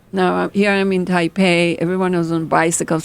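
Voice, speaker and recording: On a very clean recording with a silent background, a woman with an Israeli accent speaks at a medium pitch and a moderate pace. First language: Hebrew. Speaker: fashion designer. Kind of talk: interview storytelling. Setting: podcast. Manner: animated.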